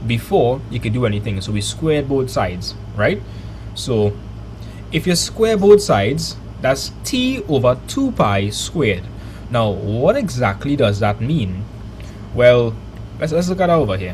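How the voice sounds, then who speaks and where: With a Trinidadian accent, a man speaks at a fairly slow pace with long, frequent pauses, amid audible room echo and noticeable background noise. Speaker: maths teacher streamer. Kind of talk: live online maths lesson. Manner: animated.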